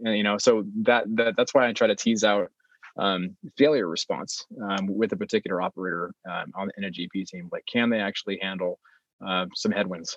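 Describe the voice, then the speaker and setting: A man with a West Coast US accent speaks at a moderate pace and a fairly low pitch, his intonation fairly even. The sound is dry and close, with no echo. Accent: General American, West Coast. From California, Bay Area. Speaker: real estate investor. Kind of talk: interview. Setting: remote recording, not in office. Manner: halting, frequent filler words.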